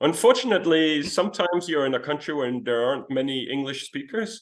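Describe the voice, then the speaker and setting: With a Danish accent, a man speaks at a fairly high pitch. His intonation is lively. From Denmark. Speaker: traveler. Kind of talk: interview.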